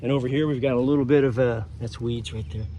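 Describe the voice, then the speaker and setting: This man has a dark, mellow tone at medium pitch. His pitch varies in an ordinary way. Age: 60s. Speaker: gardening vlogger. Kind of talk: casual garden tour vlog. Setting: outdoors in a garden. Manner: casual, halting with fillers.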